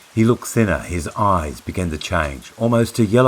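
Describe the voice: What we hear is plain reading aloud.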